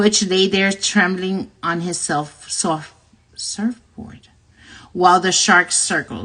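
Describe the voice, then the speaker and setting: A fairly slow pace in a Spanish accent. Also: woman. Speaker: livestream host reading a book aloud. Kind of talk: reading aloud. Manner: halting, frequent self-corrections.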